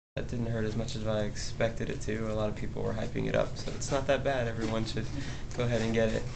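The delivery is flat and monotone at a very fast pace. Noticeable background noise runs underneath. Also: man. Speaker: patient vlogger. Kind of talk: casual talk to camera. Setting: clinic. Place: hall. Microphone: phone near.

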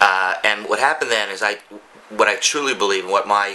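Man at a moderate pace over light background noise. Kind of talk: tour commentary. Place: home room.

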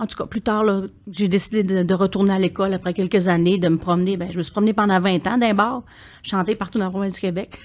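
Speaking at a very fast pace, a woman keeps a monotone, flat intonation. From Quebec. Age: 60s. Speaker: singer and palliative care attendant; podcast guest. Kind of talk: podcast interview. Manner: halting, repeats words. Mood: warm, reflective. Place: studio. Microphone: studio mic.

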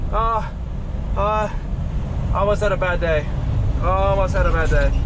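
The speech moves at a moderate pace while loud noise fills the background. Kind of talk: casual vlog chat. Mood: delighted, then startled. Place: car. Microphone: phone near.

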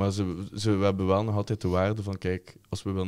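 Against a quiet background, a man talks very fast in a dark, mellow tone at a fairly low pitch. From Flanders, Belgium. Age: 20s. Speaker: football ultras group member, chant leader; podcast guest or host. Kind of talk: casual chat. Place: studio. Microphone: studio mic.

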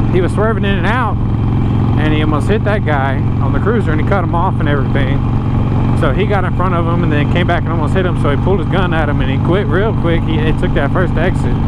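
Very fast speech with a dry sound and no echo, set against loud background noise. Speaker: motorcycle vlogger. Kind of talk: casual vlog chat. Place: motorbike. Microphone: lapel.

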